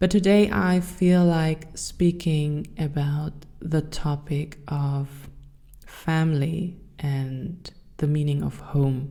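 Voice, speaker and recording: A woman speaks very slowly with a German accent, her pitch very deep and low. Her tone is dark and mellow, and her intonation stays fairly even. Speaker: podcast host. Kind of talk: personal monologue podcast.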